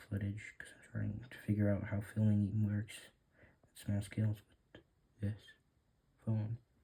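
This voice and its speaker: Somewhat breathy and dark, mellow in tone, a man speaks fairly slowly in a monotone, flat delivery. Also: long, frequent pauses. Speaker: hobbyist terrarium keeper. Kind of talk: casual vlog narration. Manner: hesitant, filler words.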